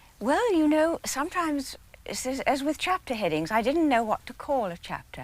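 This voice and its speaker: With an English accent, this woman talks at a moderate pace. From England. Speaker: biographer. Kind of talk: interview answer. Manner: soft-spoken.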